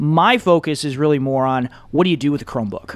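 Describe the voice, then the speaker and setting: A plain, everyday voice from a man with an American accent, fairly high in pitch, with ordinary pitch variation. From Michigan. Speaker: education technology consultant, former teacher. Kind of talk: casual interview.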